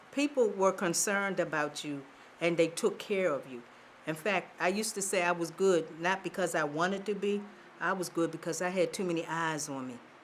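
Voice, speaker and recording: A woman with an American accent, fairly low-pitched for a woman, talking at a fairly quick pace with ordinary pitch variation, audible room echo around her. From Baltimore, Maryland. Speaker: oral history interviewee. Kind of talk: oral history interview. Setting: theater.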